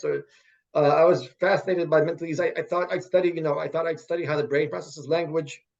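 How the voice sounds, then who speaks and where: Talking at a very fast pace, a man uses a fairly high pitch and fairly even intonation. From Russia, moved to US at almost ten. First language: Russian. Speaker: professor. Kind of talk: interview. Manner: halting, many repetitions and fillers.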